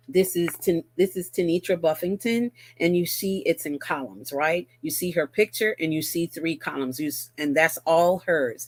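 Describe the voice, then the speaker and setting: A woman speaks with a slight Barbadian accent at a fairly low pitch and ordinary pitch variation. The sound is dry and close, with no echo. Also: moderate pace. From Barbados. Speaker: magazine editor. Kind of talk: casual livestream talk. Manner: casual, hesitant with fillers.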